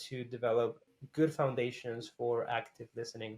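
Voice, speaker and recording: A man with a Spanish accent, medium pitch and monotone, flat intonation. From Costa Rica. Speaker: graphic artist. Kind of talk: interview. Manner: casual, with many fillers.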